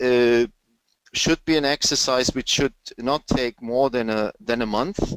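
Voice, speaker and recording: Recorded dry and close with no echo, a man talks at a fairly slow pace with ordinary pitch variation. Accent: German. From Germany. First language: German. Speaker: sales and marketing consultant. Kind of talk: webinar presentation with Q&A. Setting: online webinar. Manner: halting, many fillers and repetitions.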